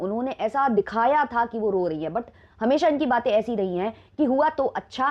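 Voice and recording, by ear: With lively intonation, a woman talks at a moderate pace and a fairly high pitch.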